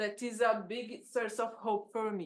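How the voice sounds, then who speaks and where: In a Brazilian accent, a woman speaks at a fairly slow pace. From Brazil, São Paulo. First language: Portuguese. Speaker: agroecologist and researcher. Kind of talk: conference talk. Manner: halting.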